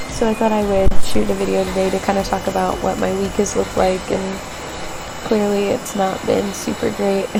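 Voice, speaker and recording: Quietly and at a moderate pace, a woman speaks with audible room echo and noticeable background noise. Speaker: vlogger. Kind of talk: personal vlog. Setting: hospital room. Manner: quiet, hushed.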